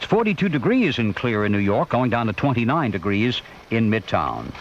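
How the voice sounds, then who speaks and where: This man's voice has vocal fry and a medium pitch. His intonation is lively. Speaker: radio news anchor. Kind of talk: all-news radio broadcast read.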